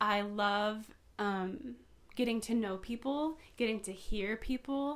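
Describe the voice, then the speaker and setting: Speaking in an ordinary speaking voice with an American accent, a woman talks at a fairly slow pace and a fairly high pitch with ordinary pitch variation. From Southern California (Poway). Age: 20s. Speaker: podcaster. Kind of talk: casual chat.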